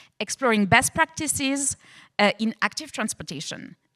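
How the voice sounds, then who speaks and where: Bright, sharp tone from a woman with a French accent, lively intonation and a fairly quick pace, on a very clean recording with a silent background. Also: dry, close sound with no echo. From France. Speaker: panel moderator. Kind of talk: panel introduction.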